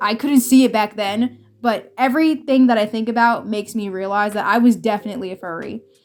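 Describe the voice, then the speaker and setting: In a normal speaking voice, a woman speaks at a fairly high pitch with ordinary pitch variation. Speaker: storytime artist youtuber. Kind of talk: casual storytelling monologue. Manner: scatterbrained, filler-heavy.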